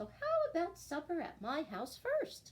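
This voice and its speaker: Using a put-on character voice, a woman sounds squeaky and cheerful, her high-pitched voice raised and projected at a moderate pace. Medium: read story. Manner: eager, cheerful.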